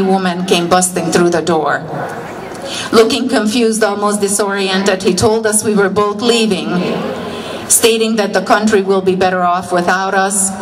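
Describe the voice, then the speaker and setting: A woman with a Hungarian accent speaks at a moderate pace, with medium pitch and fairly even intonation. Both background noise and room echo are noticeable. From Hungary. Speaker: political rally speaker. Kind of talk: rally speech.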